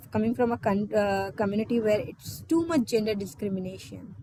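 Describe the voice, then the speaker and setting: Moderate pace and ordinary pitch variation in an Indian accent, with vocal fry. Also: woman. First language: not English (Indian language). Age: 20s. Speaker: exchange student speaker. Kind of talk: personal talk in online meeting.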